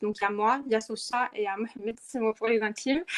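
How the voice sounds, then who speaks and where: Dry and close with no echo, a woman's fairly high voice moves at a moderate pace with fairly even intonation. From Morocco, Rabat. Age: 20s. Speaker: activist, movement co-founder. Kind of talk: podcast interview. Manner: hesitant, many fillers.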